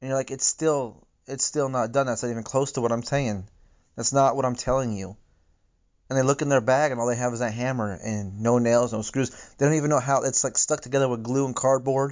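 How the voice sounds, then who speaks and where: A man talks in a normal speaking voice, fairly quickly, at a medium pitch, his intonation fairly even. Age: 40s. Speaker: relationship advice podcaster. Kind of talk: monologue.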